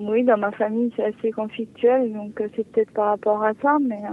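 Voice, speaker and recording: A woman with a fairly high voice speaks at a very slow pace. Her intonation is monotone and flat. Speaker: caller. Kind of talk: personal consultation. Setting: phone call. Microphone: sounds far away.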